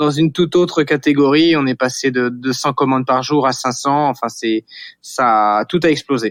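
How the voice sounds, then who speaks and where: At a moderate pace, a man speaks in a medium pitch with very even loudness, a quiet background, and a dry, close sound with no echo. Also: fairly even intonation. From western France, Vendée coast. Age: 40s. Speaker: startup founder. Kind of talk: interview. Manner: hesitant, many fillers and repetitions.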